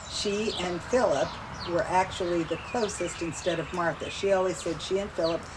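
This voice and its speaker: Amid noticeable background noise, a woman with an American accent speaks at a moderate pace and a fairly low pitch. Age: 70s. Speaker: family member interviewee. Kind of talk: interview.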